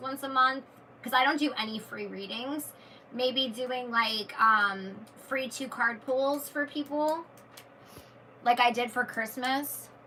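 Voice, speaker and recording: Raising and projecting her high-pitched voice, a woman speaks with ordinary pitch variation and long, frequent pauses. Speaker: YouTuber and tarot reader. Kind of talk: live stream chat with viewers. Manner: casual, with self-corrections and repeats.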